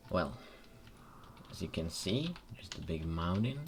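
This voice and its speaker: Music plays in the background as someone speaks at a fairly slow pace in a Czech accent. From Czech Republic. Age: young. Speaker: gaming youtuber. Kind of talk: gameplay commentary. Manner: halting. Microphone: poor audio.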